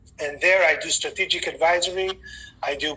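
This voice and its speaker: A man speaks over noticeable background noise. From Greece. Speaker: sports event management consultant. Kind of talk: webinar panel self-introduction.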